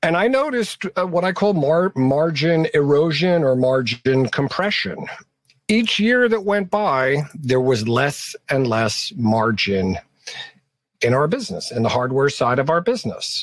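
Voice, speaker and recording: With an American accent, the voice makes very wide pitch swings while keeping very even loudness. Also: man, fairly high pitch for a man, fairly slow pace. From New York. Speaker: author and entrepreneur. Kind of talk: interview.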